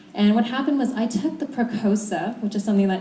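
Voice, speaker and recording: Amid noticeable background noise and audible room echo, a woman talks at a very fast pace with ordinary pitch variation. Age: 20s. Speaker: network marketing speaker. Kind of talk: motivational talk. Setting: stage with audience. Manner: animated.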